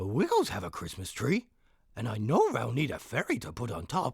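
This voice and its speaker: Using a put-on character voice, a man speaks at a fairly quick pace in a medium pitch. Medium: read story. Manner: friendly.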